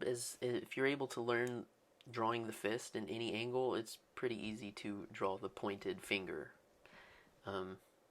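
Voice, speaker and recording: A quiet man's voice at medium pitch, moderate pace and ordinary pitch variation. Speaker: art tutorial creator. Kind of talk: tutorial. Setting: home, early morning. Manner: quiet, subdued excitement; casual, filler-heavy.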